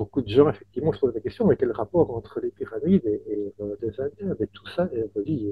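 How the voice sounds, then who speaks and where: This man's voice is somewhat breathy and medium in pitch. He talks at a fairly quick pace with lively intonation and hardly any pauses. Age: 60s. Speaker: author. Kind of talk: interview. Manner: halting, with many repetitions.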